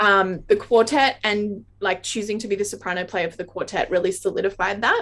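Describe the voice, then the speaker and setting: The speaker has a strong Australian accent and fairly even intonation, with hardly any pauses. Noticeable background noise is present. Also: woman, medium pitch for a woman, fairly quick pace. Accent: Australian, very obvious. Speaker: classical saxophonist and educator. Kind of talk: interview Q&A.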